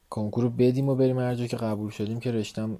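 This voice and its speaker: With noticeable background noise behind him, a man speaks at a medium pitch with fairly even intonation. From Iran, Tehran. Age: 20s. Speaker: photographer. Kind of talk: casual interview. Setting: late-night conversation.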